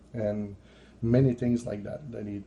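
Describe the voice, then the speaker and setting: A man with a French accent speaks at a fairly slow pace in a fairly low, somewhat breathy voice. His tone is dark and mellow, and his intonation stays fairly even. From France. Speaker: religious visionary vlogger. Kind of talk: testimony. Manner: halting.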